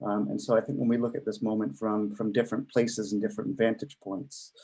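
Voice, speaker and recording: Here a man talks at a fairly quick pace with a medium pitch. His tone is dark and mellow, with vocal fry. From Canada, Toronto. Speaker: discussion participant. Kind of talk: discussion.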